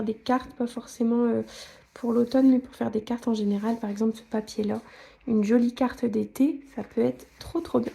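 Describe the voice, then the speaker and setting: A woman's high voice at a moderate pace with fairly even intonation. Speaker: scrapbooking YouTuber. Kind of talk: product haul review. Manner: casual, with frequent hesitations.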